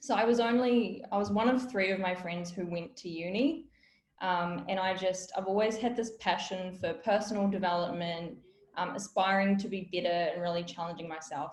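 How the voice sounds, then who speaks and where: At a moderate pace, a woman with a somewhat breathy, medium-pitched voice speaks with ordinary pitch variation. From New Zealand, South Auckland. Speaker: business founder and workshop speaker. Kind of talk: webinar talk. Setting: online webinar.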